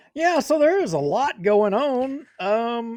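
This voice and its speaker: Recorded with a dry, close sound and no echo, a man speaks at a very slow pace. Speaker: local news show co-host. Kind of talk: casual chat.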